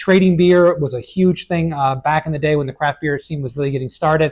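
A man at a very fast pace, fairly even intonation, quiet background. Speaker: beer reviewer. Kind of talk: casual review commentary. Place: shop. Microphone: lapel.

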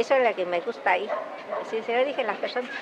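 Noticeable background noise sits under a woman's speech. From Hidalgo, Mexico. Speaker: healer and NGO co-leader. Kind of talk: interview answer. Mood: earnest, at times smiling. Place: street.

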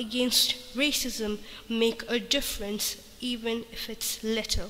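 A woman's fairly high voice at a very slow pace, fairly even in intonation, with noticeable background noise. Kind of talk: spoken word poetry.

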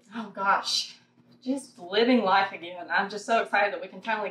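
At a moderate pace, a woman with a medium pitch and fairly even intonation speaks amid light background noise and audible room echo. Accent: Southern US. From Thomasville, North Carolina. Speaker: model, talent agency owner. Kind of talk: interview answer. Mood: cheerful, excited.

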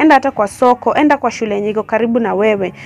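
Talking at a very fast pace, a woman with a fairly high pitch and slightly mellow tone shows vocal fry and ordinary pitch variation.

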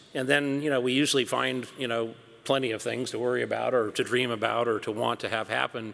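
A man talks at a very fast pace in an American accent. His intonation stays fairly even. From US Pacific Northwest (Seattle). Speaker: company CEO; panelist. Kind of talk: onstage interview; interview answer. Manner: hesitant with fillers. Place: hall. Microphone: podium.

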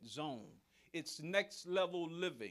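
Against a quiet background, a man speaks at a high pitch. His pace is fairly slow. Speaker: pastor. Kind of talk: sermon. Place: church.

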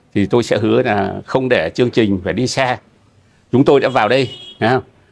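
The man's intonation stays fairly flat as he talks at a moderate speed. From northern Vietnam, Bac Ninh; northern Vietnam. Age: 60s. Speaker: matchmaking show participant; interview guest. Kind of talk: casual conversation. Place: garden. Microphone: lapel.

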